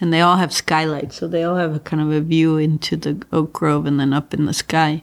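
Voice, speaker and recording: A woman speaks in a very deep, low voice with flat, monotone intonation, moving at a fairly quick pace with hardly any pauses. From Mexico City. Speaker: architecture professor and architect. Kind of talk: interview conversation. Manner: straightforward, clear.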